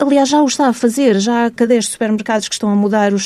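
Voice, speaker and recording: Here a woman talks at a very fast pace with ordinary pitch variation. Her voice is fairly high, with a dark, mellow tone. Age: 40s. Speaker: marine biologist and researcher. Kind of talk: radio interview.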